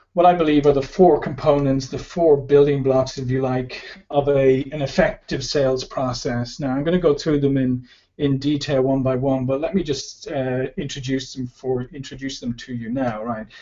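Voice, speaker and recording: Speaking with an Irish accent, a man keeps his intonation fairly even. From Ireland. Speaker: sales expert. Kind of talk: webinar presentation. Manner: halting, many fillers.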